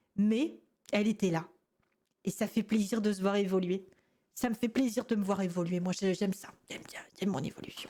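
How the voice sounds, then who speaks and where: Somewhat breathy and dark, mellow in tone, a woman speaks at a fairly quick pace with a medium pitch, ordinary pitch variation, big swings in loudness and long, frequent pauses. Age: 20s. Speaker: gaming youtuber reacting to old videos. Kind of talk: casual reaction commentary. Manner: calmer, more composed voice than before.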